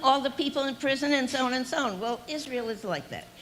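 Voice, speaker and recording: Noticeable background noise surrounds a woman talking with a high pitch. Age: 80s+. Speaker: activist speaker. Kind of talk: rally speech. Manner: impassioned, repetitive.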